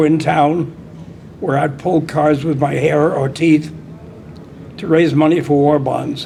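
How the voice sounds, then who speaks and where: A man at a fairly high pitch speaks in a flat monotone at a fairly slow pace, with long, frequent pauses. Noticeable background noise and audible room echo surround him. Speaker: old-time strongman. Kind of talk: interview testimony.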